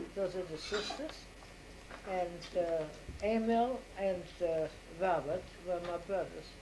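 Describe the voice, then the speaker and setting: Speaking at a very slow pace with long, frequent pauses, a woman is heard amid noticeable background noise and audible room echo. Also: medium pitch for a woman, ordinary pitch variation. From Austria, Vienna. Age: 80s+. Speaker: grandmother interviewed by family. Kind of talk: family interview.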